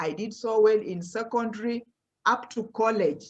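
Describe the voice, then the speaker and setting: With a Kenyan accent, a woman speaks at a moderate pace and a medium pitch. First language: Luhya. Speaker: professor. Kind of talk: motivational talk to students.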